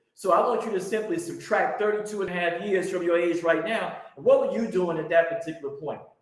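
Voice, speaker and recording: A man with an American accent speaks in a high voice with lively intonation, and the room echo is audible. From US Midwest, Chicago. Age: 60s. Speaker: religious teacher. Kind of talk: teaching presentation.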